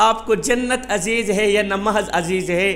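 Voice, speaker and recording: A man projects his raised voice as noticeable background noise carries on around him. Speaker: Islamic preacher. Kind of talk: Islamic sermon (bayan).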